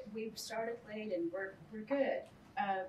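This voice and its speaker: A woman's somewhat breathy, fairly high voice at a fairly slow pace, with audible room echo and light background noise. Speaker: panel moderator. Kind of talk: formal introduction. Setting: stage with audience. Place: meeting room. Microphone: podium.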